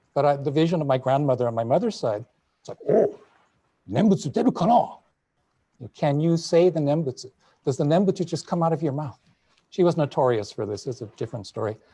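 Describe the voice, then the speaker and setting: A man's somewhat breathy voice with a dark, mellow tone, fairly high pitch, lively intonation, very fast pace and long, frequent pauses. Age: 60s. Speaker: Buddhist minister. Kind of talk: panel discussion. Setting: video call.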